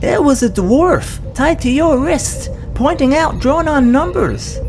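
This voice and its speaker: In a cartoonish character voice, a female-sounding speaker talks at a high pitch and a fairly slow pace over clear background noise. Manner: deadpan, literal.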